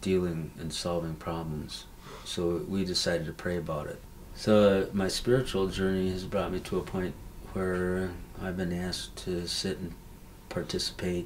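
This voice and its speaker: With monotone, flat intonation, a man speaks at a very deep, low pitch. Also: moderate pace. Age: old. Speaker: Anishinabe elder and spiritual leader. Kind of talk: interview answer.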